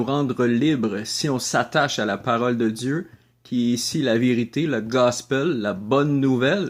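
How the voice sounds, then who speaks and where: A man speaks with a Quebec accent. The recording is very clean, with a silent background. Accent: Québécois French. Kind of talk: video blog talk.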